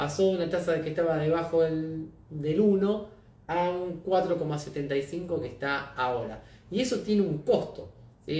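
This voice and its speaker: A man with an Argentine accent, fairly high pitch and ordinary pitch variation, with audible room echo. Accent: Rioplatense Argentine Spanish. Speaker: market analyst, company founder. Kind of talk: live-streamed market analysis. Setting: live stream. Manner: conversational, addresses viewers; fast.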